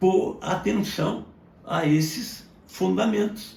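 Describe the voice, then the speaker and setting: Amid audible room echo, a man's voice shows vocal fry and very wide pitch swings. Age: 70s. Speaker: medical doctor. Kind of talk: educational monologue. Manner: formal.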